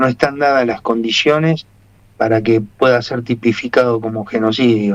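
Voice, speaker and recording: A man's medium-pitched voice, an ordinary speaking voice with fairly even intonation. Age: 60s. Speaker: military family member, political commentator. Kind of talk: radio interview.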